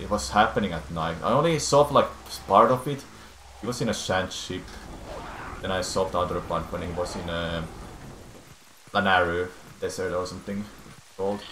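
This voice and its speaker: A man with a very deep, low voice and a non-native accent, at a moderate pace with long, frequent pauses and lively intonation, amid noticeable background noise and audible room echo. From Finland. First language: Finnish. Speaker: speedrunner and streamer. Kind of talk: live gameplay stream talk. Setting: live stream. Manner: halting.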